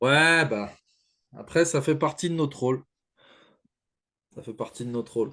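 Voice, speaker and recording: Against a quiet background, a man with a fairly high pitch and a bright, sharp tone speaks at a moderate pace with ordinary pitch variation, long, frequent pauses and big swings in loudness. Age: 30s. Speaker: podcast host, fitness coach. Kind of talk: podcast interview.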